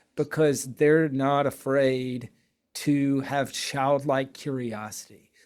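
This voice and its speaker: On a very clean recording with a silent background, a man speaks at a fairly high pitch with fairly even intonation. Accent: slight Southern US. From US South. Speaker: entrepreneur, company founder. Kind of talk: casual podcast interview.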